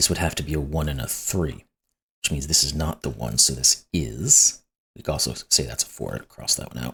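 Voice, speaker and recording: With a very deep, low pitch and vocal fry, a man speaks at a moderate pace in a bright, sharp tone, his loudness swinging widely while his pitch varies in an ordinary way. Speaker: sudoku puzzle YouTuber. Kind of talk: puzzle-solving tutorial commentary. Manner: conversational, thinking aloud.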